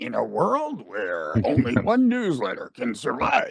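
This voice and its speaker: A man puts on a character voice and talks fairly slowly. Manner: dramatic.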